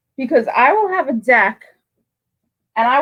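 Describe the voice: A high-pitched woman's voice with lively intonation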